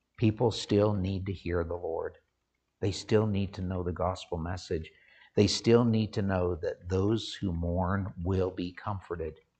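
Over a quiet background, a man with a very deep, low pitch and a somewhat breathy voice speaks at a moderate pace in a monotone, flat intonation. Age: 50s. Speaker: pastor. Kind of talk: sermon. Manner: halting.

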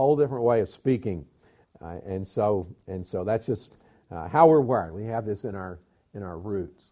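This man has a Southern US accent and a fairly low pitch with ordinary pitch variation. His tone is dark and mellow, his pace moderate. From US South (Georgia, Alabama). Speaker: pastor and mission agency director. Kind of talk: sermon-style Bible teaching. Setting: church.

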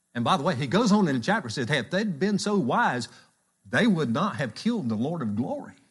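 A man's fairly high-pitched, somewhat breathy voice at a fairly quick pace, with very wide pitch swings. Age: 60s. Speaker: church elder preaching. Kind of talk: sermon. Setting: church.

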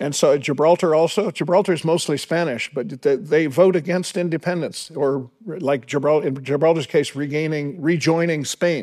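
On a very clean recording with a silent background, a man with an ordinary speaking voice talks at a moderate pace, fairly high in pitch, with fairly even intonation. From Canada. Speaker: guest speaker. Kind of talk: sermon.

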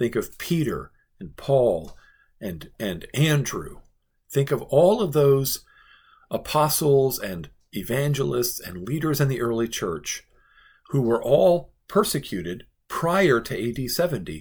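Speaking very slowly, a man with a fairly high, somewhat breathy voice makes very wide pitch swings in a very clean recording with a silent background. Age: 40s. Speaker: pastor. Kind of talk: Bible devotional teaching.

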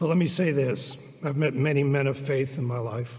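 The speaker talks at a fairly slow pace in a somewhat breathy voice. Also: man. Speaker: church elder introducing the speaker. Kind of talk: welcome and introduction.

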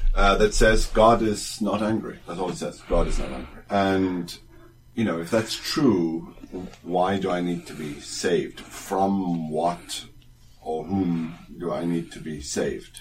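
A man's very deep, low voice at a fairly slow pace, with ordinary pitch variation, big swings in loudness, noticeable background noise and audible room echo. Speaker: theology teacher. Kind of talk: casual chat. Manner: halting.

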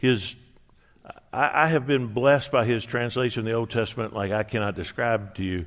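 In an ordinary speaking voice, a man talks with ordinary pitch variation. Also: medium pitch for a man, fairly quick pace. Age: 60s. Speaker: pastor. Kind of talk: sermon.

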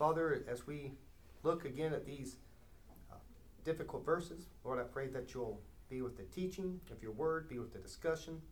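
Talking at a moderate pace with long, frequent pauses, a man uses a somewhat breathy, fairly high voice and ordinary pitch variation. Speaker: Bible study leader. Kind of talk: Bible study lesson with group discussion. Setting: recorded near a recorder with a small group.

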